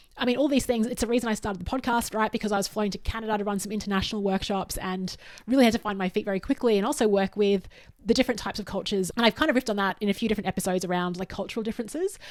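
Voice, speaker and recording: Very fast speech from a woman with an Australian accent, fairly high in pitch, with ordinary pitch variation. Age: 40s. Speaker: podcast host and workshop facilitator. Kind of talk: solo podcast monologue.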